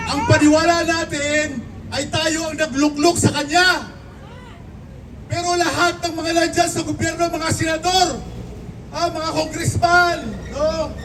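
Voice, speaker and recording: A man speaks at an extremely high pitch in a monotone, flat intonation, fairly slowly and with long, frequent pauses, over noticeable background noise. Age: 60s. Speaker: political commentator. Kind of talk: political commentary.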